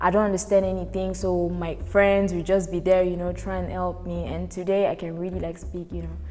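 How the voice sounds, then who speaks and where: Over noticeable background noise, a woman speaks at a fairly quick pace in a French accent. Her loudness swings widely. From Congo. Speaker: guest storyteller. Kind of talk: personal anecdote.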